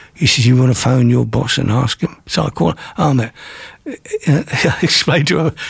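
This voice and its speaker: At a moderate pace, a man talks in a medium pitch. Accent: English. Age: 70s. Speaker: music industry manager. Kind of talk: interview. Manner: storyteller.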